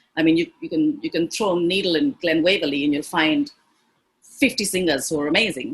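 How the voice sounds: A woman speaks at a fairly quick pace in a low pitch with ordinary variation, her fairly bright tone carrying a slightly husky edge.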